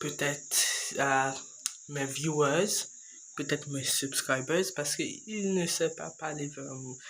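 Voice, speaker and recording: A man's very slow speech with ordinary pitch variation, in audible room echo and noticeable background noise. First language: English (speaking French). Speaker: YouTuber. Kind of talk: casual vlog monologue. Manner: slow, halting.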